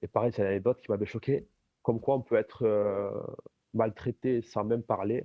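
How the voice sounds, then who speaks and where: A man talks at a moderate pace and a medium pitch with fairly even intonation. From Algeria. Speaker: apostate giving a testimony. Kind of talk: casual chat.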